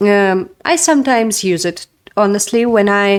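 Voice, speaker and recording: This is a woman with a Russian accent. Her pitch is medium. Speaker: narrative game designer. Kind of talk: casual talk. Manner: hesitant, many fillers.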